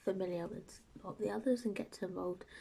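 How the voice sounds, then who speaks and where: Soft-spoken delivery with a British accent. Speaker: book reviewer. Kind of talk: casual book review vlog. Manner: soft-spoken, talking quietly.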